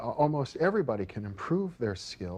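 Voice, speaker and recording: Somewhat breathy, a man speaks at a fairly quick pace with very wide pitch swings. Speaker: parapsychology expert. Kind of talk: interview. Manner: fast.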